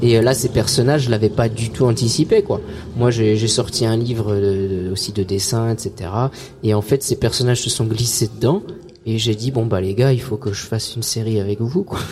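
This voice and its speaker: A man at medium pitch and a moderate pace, fairly even in intonation, over noticeable background noise. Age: 30s. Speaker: singer and comic artist. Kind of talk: casual interview. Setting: outdoor event, live radio. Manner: halting, many repetitions.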